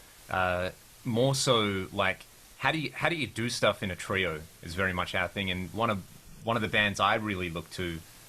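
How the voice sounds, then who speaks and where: A man speaks with an Australian accent. His pitch is fairly low, with ordinary variation. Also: moderate pace. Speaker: rock guitarist. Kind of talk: casual interview chat.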